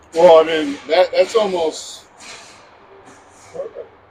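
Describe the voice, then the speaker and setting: A man talks with an American accent. Background noise is noticeable. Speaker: youth hockey broadcaster. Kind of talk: casual chat. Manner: loud.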